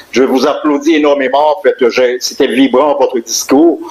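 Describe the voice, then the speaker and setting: The speech goes at a moderate pace, with noticeable background noise behind it. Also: man. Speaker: teacher. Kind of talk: public speech. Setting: community event hall with audience. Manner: halting.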